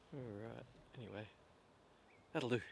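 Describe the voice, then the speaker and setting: A man speaks in a soft-spoken way. His voice has vocal fry. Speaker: vlogger. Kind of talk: casual monologue to camera. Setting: outdoors. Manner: halting.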